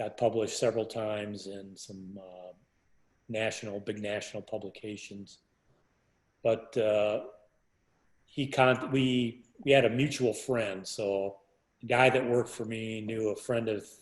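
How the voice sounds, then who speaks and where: A man with a medium pitch talks at a fairly slow pace. His loudness swings a lot, and he leaves long, frequent pauses. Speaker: architect. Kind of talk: interview answer. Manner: soft-spoken.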